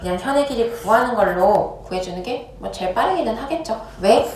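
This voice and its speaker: Through audible room echo and noticeable background noise, the speech carries lively intonation. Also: woman. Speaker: math teacher. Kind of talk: lecture. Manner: fast.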